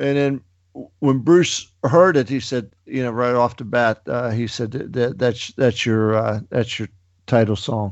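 A man of medium pitch talks at a fairly slow pace with ordinary pitch variation. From western Pennsylvania, Pittsburgh area. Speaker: rock musician. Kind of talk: interview. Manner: halting, many fillers.

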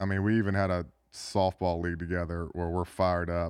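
The voice is monotone and flat, moving at a fairly quick pace. The background is quiet. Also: man. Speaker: former NFL tight end. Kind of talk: interview. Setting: studio.

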